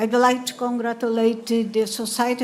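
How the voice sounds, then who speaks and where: Amid noticeable background noise and audible room echo, a woman speaks with a fairly high pitch. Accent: Portuguese. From Brazil. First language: Portuguese. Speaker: professor and session moderator. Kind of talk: conference moderation.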